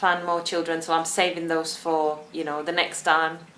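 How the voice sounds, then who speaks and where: In a Czech accent, a woman with a fairly low pitch speaks at a moderate pace, with audible room echo. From Czech Republic. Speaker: vlogger. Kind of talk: casual vlog talk.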